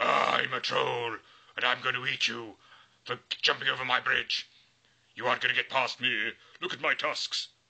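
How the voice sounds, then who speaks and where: Using a put-on character voice, a raspy man speaks at a moderate pace with long, frequent pauses. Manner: scary, threatening.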